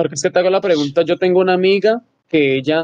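A man at a very fast pace with fairly even intonation. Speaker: podcast co-host. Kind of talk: interview. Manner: halting. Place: home room. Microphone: phone line.

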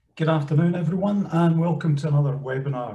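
A man talking at a very fast pace with ordinary pitch variation. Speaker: events host. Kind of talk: webinar introduction. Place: home room. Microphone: webcam.

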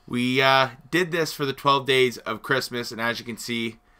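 Keeping a moderate pace, the man talks with fairly even intonation. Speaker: video host. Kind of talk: casual vlog chat.

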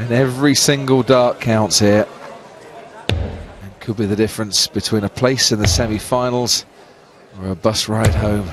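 A man's fairly low, animated voice with a British accent over noticeable background noise. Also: ordinary pitch variation, moderate pace. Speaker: darts commentator. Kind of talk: live sports commentary. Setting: commentary box at arena. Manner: animated, fluent, analytical.

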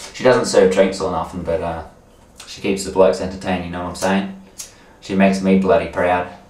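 Very deep, low male pitch at a fairly quick pace, monotone and flat, with audible room echo. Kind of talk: casual rambling monologue to camera. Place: bathroom. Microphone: camera far.

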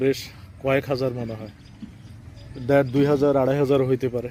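A man speaks with a Chandpur accent at a medium pitch. His intonation is monotone and flat. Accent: regional Chandpur Bengali. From Bangladesh, Chandpur. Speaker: poet and vlogger. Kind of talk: travel vlog monologue. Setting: outdoors by railway line. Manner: halting.

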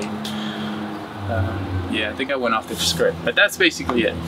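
A man's voice over noticeable background noise. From Uruguay; moved to US at 14. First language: Spanish. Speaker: muralist. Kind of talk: interview testimony. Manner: casual. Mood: reflective, earnest. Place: garden.

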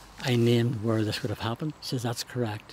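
A man speaks at a medium pitch with a Northern Irish accent. The sound is dry with no echo, over light background noise. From Northern Ireland. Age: 70s. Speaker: charity walker. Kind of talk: interview answer. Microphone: lapel.

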